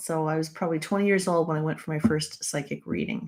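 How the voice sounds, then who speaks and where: A woman speaks with a Canadian accent. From Canada. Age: 60s. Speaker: numerologist and author. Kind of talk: live stream chat. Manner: casual, halting with many fillers.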